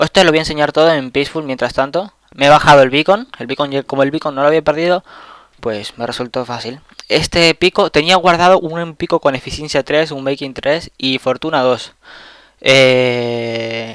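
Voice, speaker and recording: At a moderate pace, a man talks with ordinary pitch variation in a dry, close sound with no echo. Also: fairly high pitch for a man. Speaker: gaming youtuber. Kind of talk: gameplay commentary. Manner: casual, rambling with repetitions.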